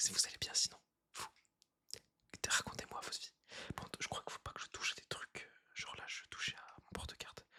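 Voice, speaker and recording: A whispering man, with long, frequent pauses. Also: fairly quick pace, big swings in loudness. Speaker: YouTuber doing ASMR. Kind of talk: ASMR whispering monologue. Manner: casual, rambling improvisation.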